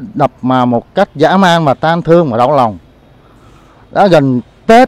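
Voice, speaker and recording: At a very slow pace, a man speaks with lively intonation in a dry sound with no echo. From Saigon, Vietnam. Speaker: farmer. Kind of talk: testimony. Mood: grieved, indignant. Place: garden. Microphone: handheld.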